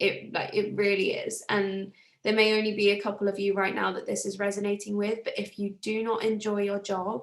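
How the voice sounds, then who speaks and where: A woman speaks with a British accent. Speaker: self-development coach. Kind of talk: live group coaching talk.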